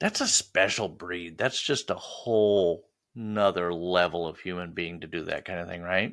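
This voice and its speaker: A man with a very deep, low pitch speaks at a moderate pace with hardly any pauses and fairly even intonation. His loudness swings widely in a very clean recording with a silent background. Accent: American. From US Upper Midwest. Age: 60s. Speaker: podcast host. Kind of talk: casual interview chat.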